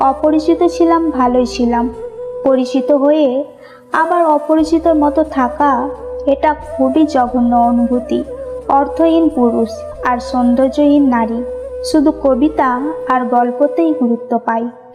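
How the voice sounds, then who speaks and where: Music plays behind a woman with a high pitch. Her loudness stays very even throughout. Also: lively intonation. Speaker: motivational speaker. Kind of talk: emotional motivational speech.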